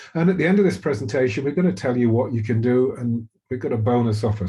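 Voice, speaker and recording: Somewhat breathy, a man speaks with a dark, mellow tone. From Britain. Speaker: physician and webinar host. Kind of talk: webinar presentation. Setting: recorded webinar. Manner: halting, many fillers.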